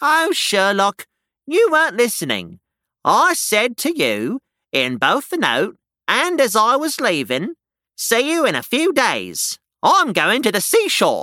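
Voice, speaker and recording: Using a put-on character voice, a man speaks fairly slowly at an extremely high pitch on a very clean recording with a silent background. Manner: gentle, cheerful.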